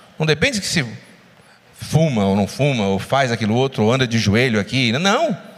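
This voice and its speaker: A man speaks at a moderate pace. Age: 40s. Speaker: lay preacher and physician. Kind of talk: sermon. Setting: church.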